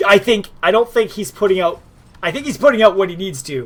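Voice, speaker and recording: Somewhat breathy, a man talks with lively intonation. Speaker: esports caster. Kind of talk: live commentary. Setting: live stream. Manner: talks fast when excited.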